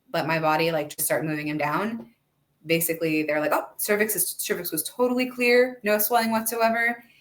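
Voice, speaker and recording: A woman with an American accent speaks at a fairly quick pace in a medium pitch, her voice swinging very widely up and down. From US Northeast, New Jersey. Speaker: massage therapist, mother sharing birth stories. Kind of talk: casual chat.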